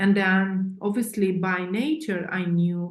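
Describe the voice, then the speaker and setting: A woman talks at a fairly slow pace. Her medium-pitched voice is somewhat breathy. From Eastern Europe. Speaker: author and coach. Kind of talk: interview. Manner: halting, many fillers.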